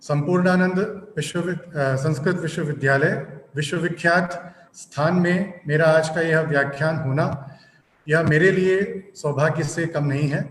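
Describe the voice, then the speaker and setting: Fairly even intonation marks this voice with a non-native accent, heard with audible room echo. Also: man, fairly high pitch for a man. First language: not Hindi (speaking Hindi). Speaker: guest lecturer. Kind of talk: lecture. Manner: halting; formal.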